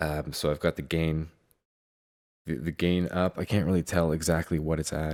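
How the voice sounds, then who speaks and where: Very deep and low, a soft-spoken man's voice moves at a moderate pace with monotone, flat intonation and long, frequent pauses in a very clean recording with a silent background. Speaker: music producer. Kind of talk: tutorial. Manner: halting.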